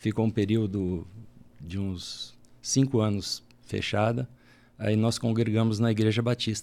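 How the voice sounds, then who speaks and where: Fairly slow speech comes from a man with a dark, mellow tone. His intonation is fairly even. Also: fairly low pitch for a man. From Paraná, Brazil. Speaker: church elder. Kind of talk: casual chat.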